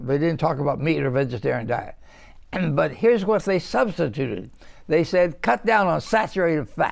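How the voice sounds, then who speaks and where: With vocal fry and a fairly high pitch, a man speaks at a moderate pace in very wide pitch swings, on a very clean recording with a silent background. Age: 80s+. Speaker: physician and nutritionist. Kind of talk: interview answer.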